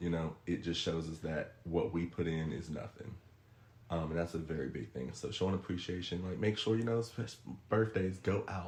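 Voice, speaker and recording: A man's somewhat breathy voice sits at a very deep, low pitch with ordinary pitch variation. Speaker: podcast guest giving relationship advice. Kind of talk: casual podcast chat. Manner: fast.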